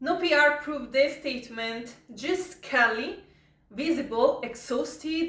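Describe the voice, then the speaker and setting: In an Italian accent, a woman with a bright, sharp tone speaks at a very slow pace with ordinary pitch variation. Audible room echo surrounds her. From Italy. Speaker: YouTuber commenting on viral news. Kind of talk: casual commentary reading from notes. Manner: halting, with fillers.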